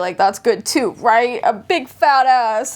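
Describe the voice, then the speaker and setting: Speaking at a fairly slow pace with an animated tone, a woman talks with a slight Southern US accent. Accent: slight Southern drawl. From US South. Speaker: vlogger. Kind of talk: casual chat.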